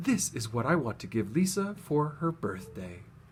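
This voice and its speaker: A man puts on a character voice at a fairly high pitch, with very wide pitch swings and a moderate pace. Clear background noise runs under it. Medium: read story.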